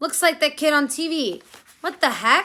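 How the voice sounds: A woman's put-on character voice, gruff and high in pitch, at a moderate pace.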